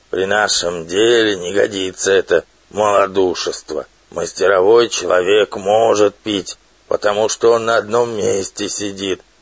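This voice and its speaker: Putting on a character voice, a man speaks at a moderate pace with a fairly low pitch. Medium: read story. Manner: sly, self-important.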